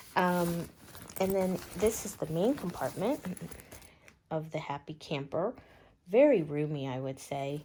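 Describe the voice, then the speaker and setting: Quiet and fairly low-pitched, a woman speaks with lively intonation. Her pace is fairly slow, broken by long, frequent pauses. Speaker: bag reviewer vlogger. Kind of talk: product review. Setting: at home. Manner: quiet, talking low; casual, many fillers.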